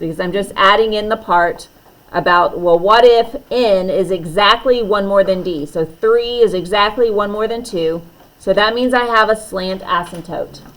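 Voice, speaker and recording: At a moderate pace, a plain, everyday voice shows ordinary pitch variation and big swings in loudness. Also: woman, medium pitch for a woman. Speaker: math teacher. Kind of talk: lecture.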